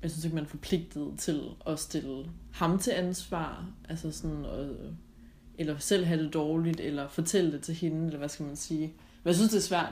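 This woman has a very deep, low pitch, vocal fry, a dark, mellow tone and fairly even intonation. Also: moderate pace. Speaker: podcast co-host. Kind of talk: recorded travel greeting; casual chat.

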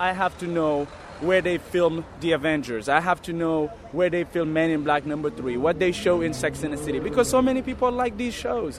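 A man talks in a fairly high voice with lively intonation. His pace is fairly quick, and background noise is noticeable. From Senegal. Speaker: tour guide. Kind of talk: walking-tour chat with the guide acting out his usual opening patter. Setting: outdoors on city streets and subway. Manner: casual, loose phrasing with fillers.

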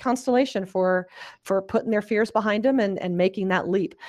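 Against a quiet background, a woman speaks in an unremarkable speaking voice, her pitch medium and intonation fairly even. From US South, small-town Alabama. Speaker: business founder and conference organizer. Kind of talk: interview.

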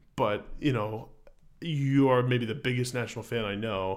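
This man has an ordinary speaking voice, pitched medium, with fairly even intonation at a moderate pace. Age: 20s. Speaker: music podcast co-host. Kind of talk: casual chat.

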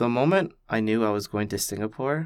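On a very clean recording with a silent background, a man speaks at a moderate pace in an unremarkable speaking voice, fairly low in pitch. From Canada. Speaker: student. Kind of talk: interview. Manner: reflective.

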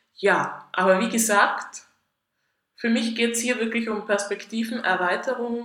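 A woman with a Tyrolean accent speaks amid audible room echo. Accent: Tyrolean Austrian German, audible. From Austria, Tyrol. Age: 30s. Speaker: podcast host. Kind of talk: solo podcast monologue.

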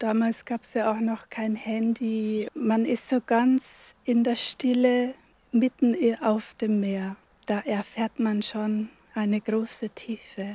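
A woman speaks very slowly at a fairly high pitch, monotone and flat, somewhat breathy with a dark, mellow tone. The recording is very clean with a silent background, dry and close with no echo. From Germany, Upper Palatinate (Bavaria). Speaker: hermit nun. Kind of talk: interview. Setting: at a pilgrimage church site.

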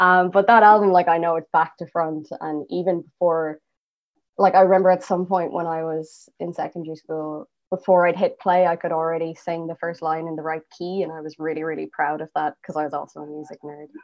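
A woman's fairly low voice in an Irish accent, with big swings in loudness. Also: fairly quick pace. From Ireland. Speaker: singer and bassist. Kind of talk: interview conversation.

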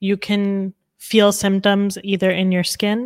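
The speaker has a normal speaking voice with a Canadian accent, moving at a fairly slow pace. The recording is very clean with a silent background. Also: woman. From Calgary, Alberta, Canada. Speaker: nutritionist. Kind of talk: casual chat.

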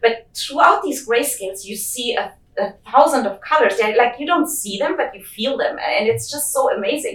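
A woman's high-pitched voice with big swings in loudness and hardly any pauses. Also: lively intonation, moderate pace. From Germany. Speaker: geochemist. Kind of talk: interview.

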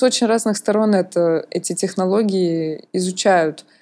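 A woman's dark, mellow voice at a very slow pace, with ordinary pitch variation, in a very clean recording with a silent background. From Russia. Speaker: museum mediator, podcast co-host. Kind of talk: casual chat. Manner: animated.

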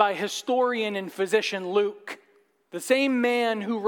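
Against quiet surroundings, someone reads in a natural voice.

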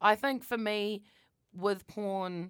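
A woman with a New Zealand accent and fairly even intonation, on a very clean recording with a silent background. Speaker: podcast co-host. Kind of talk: casual chat. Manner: loud.

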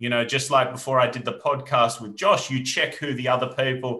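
This voice has a bright, sharp tone and an Australian accent. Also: man. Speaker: entrepreneur and reality TV winner. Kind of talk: interview. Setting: video call.

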